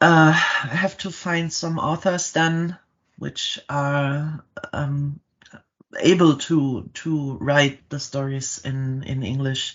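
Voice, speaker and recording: A very slow delivery in a German accent. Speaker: startup founder. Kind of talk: podcast interview. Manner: halting.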